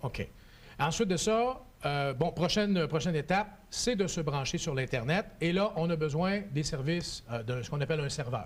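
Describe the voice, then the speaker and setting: A plain, everyday voice speaks at a moderate pace. The intonation is lively. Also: man, fairly high pitch for a man. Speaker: TV show host. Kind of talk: TV tutorial interview.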